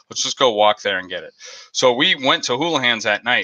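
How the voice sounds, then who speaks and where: With a Boston accent, a man talks at a fairly quick pace. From Boston area. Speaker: aquarium YouTuber. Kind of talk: live stream chat, storytelling. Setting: live stream. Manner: animated.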